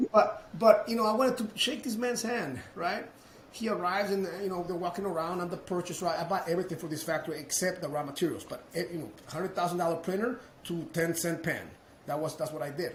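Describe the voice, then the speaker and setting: In a Mexican accent, a man talks at a very fast pace in a high voice, with an animated tone and ordinary pitch variation. Noticeable background noise and audible room echo fill the recording. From Mexico. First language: Spanish. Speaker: roofing business owner, entrepreneur. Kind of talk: casual interview storytelling. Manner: animated, with repetitions and false starts.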